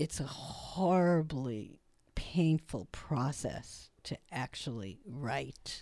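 Very slowly, a woman with a Brooklyn accent speaks at a very deep, low pitch in a dark, mellow tone. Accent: Brooklyn New York. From Brooklyn, New York (South Brooklyn near Coney Island). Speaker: photographer and author. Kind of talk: interview.

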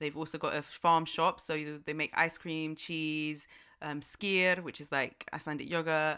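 In a very clean recording with a silent background, a woman speaks with a very deep, low pitch in a monotone, flat intonation. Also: moderate pace. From Germany. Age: 20s. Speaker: DJ. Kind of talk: casual chat.

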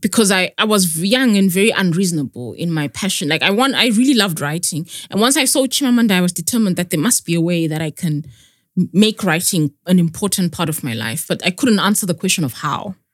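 Words come out at a very fast pace. Behind them the background is silent, the recording very clean. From Zimbabwe. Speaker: author. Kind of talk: interview.

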